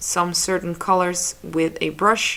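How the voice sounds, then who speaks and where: Speaking at a fairly slow pace with a Dutch accent, a woman uses a fairly low pitch and fairly even intonation. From Netherlands. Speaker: photographer and digital artist. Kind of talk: tutorial. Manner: casual, slightly halting.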